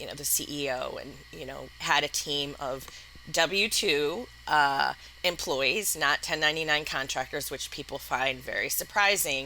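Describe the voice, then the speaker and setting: With a slight Wisconsin accent, a woman speaks at a very deep, low pitch. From US Midwest, Madison, Wisconsin. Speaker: entrepreneur, company founder. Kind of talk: podcast interview.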